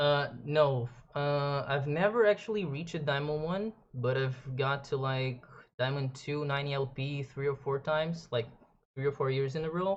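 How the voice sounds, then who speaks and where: A moderate pace with a Portuguese accent. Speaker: video game streamer. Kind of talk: casual chat.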